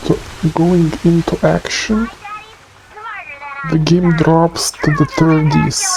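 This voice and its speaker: Someone speaks at a very slow pace with long, frequent pauses amid noticeable background noise. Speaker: PC game tester. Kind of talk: gameplay commentary. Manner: hesitant, many fillers.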